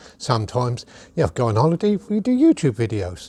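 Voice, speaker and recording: Very wide pitch swings and a dark, mellow tone come at a fairly quick pace on a very clean recording with a silent background and a dry, close sound with no echo. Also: man. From England. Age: 70s. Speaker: YouTuber. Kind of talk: casual vlog monologue. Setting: outdoors in back garden. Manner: chatty, casual.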